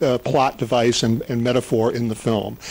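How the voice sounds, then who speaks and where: A man talks in an American accent while noticeable background noise carries on. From US. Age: 60s. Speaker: film interviewer. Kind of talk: interview. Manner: halting.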